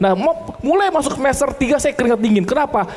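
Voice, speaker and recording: Noticeable background noise sits behind this recording. A man's voice moves through very wide pitch swings. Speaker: insurance agency business founder. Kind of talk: seminar talk.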